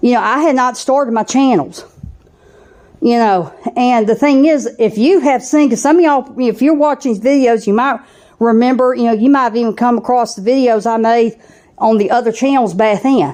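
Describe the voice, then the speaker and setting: A woman speaks at a moderate pace in a high voice with a dark, mellow tone. Her pitch varies in an ordinary way, and her loudness stays very even. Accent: strong Southern US. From US South (southeastern US). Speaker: channel host, spiritual vlogger. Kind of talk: personal monologue vlog. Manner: casual with frequent fillers.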